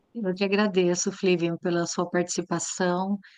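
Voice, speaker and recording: A woman at a fairly slow pace, in monotone, flat intonation. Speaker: psychoanalyst and lecturer. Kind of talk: online lecture discussion. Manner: gentle.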